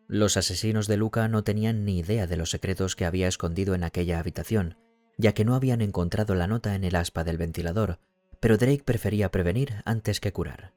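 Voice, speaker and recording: This man has a dark, mellow tone and fairly low pitch, talking at a fairly quick pace with ordinary pitch variation in a dry, close sound with no echo. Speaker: audiobook narrator. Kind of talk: audiobook reading.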